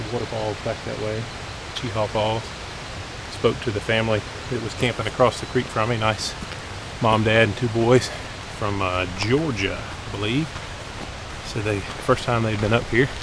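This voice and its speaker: Over noticeable background noise, a man speaks at a moderate pace with long, frequent pauses in a dry sound with no echo. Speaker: hiker vlogger. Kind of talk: casual vlog chat. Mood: annoyed at litter. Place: forest. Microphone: phone near.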